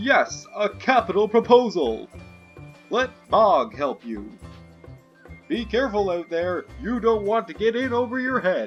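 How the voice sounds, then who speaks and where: Over faint music in the background, a man uses a put-on character voice. He speaks high-pitched at a fairly slow pace. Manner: silly, put-on.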